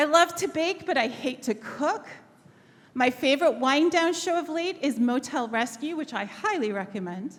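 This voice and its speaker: A woman with an American accent speaks at a moderate pace with lively intonation. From northern England, Sheffield. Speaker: history professor. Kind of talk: keynote talk.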